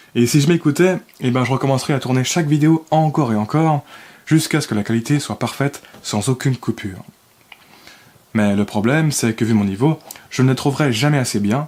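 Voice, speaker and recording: Speaking at a fairly quick pace, a man leaves long, frequent pauses. His medium pitch shows ordinary variation. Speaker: self-development video creator. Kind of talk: scripted reading of own text. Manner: careful articulation, effortful; some cuts and breath unevenness.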